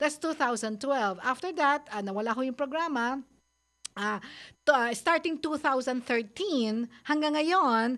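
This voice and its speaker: A woman at high pitch with lively intonation and a fairly slow pace, in a very clean recording with a silent background. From Philippines, Manila. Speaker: radio advice host. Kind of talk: radio advice talk show. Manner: halting, many fillers.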